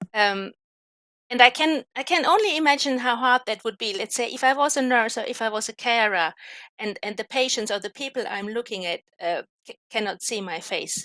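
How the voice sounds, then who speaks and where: A woman with a non-native accent talks at a fairly quick pace in a fairly high, bright, sharp voice with lively intonation and big swings in loudness. The sound is dry and close, with no echo. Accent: noticeable non-native. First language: not English. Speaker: academic expert in languages. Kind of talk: live online panel discussion.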